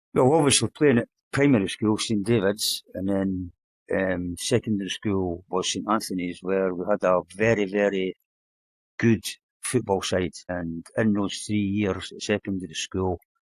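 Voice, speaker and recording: A man at a moderate pace, fairly low in pitch, with an Edinburgh accent and a dry, close sound with no echo. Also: ordinary pitch variation. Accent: Edinburgh Scottish. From Scotland, Edinburgh (Leith/Muirhouse). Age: 70s. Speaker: retired footballer. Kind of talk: interview.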